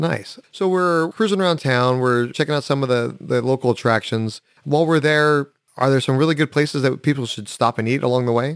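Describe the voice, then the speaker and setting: A plain, everyday voice, this man's is fairly high in pitch, with ordinary pitch variation at a fairly quick pace. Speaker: podcast host. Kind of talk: interview.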